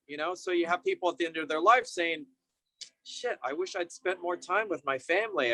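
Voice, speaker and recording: Music plays in the background as a man with an American accent talks in a high pitch with lively intonation. The sound is dry and close, with no echo. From San Francisco Bay Area, California. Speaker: yoga and meditation teacher. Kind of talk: interview answer. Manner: casual, warm.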